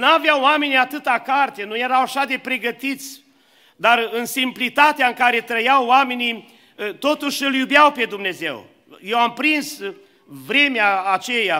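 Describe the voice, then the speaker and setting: Raised and projected, a man's bright, sharp voice at an extremely high pitch comes at a fairly slow pace over a quiet background. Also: ordinary pitch variation. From Romania, Suceava; Romania. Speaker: preacher. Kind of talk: sermon. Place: church. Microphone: podium.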